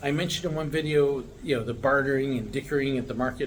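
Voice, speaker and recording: This man has an ordinary speaking voice, fairly high in pitch, with an American accent. He talks at a fairly quick pace. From United States. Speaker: vlogger, American living abroad. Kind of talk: casual talk to camera. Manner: relaxed, many filler words.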